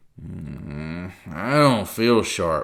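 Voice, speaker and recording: Growling in a put-on character voice, a man speaks at a very deep, low pitch. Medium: read story. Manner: growling, low.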